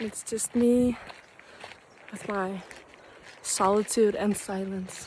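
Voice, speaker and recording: Against noticeable background noise, a woman with a Danish accent talks at a very slow pace with long, frequent pauses, her medium pitch delivered in a monotone, flat intonation. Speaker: vlogger and artist. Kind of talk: casual vlog narration. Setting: outdoors hiking. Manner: casual, halting with fillers.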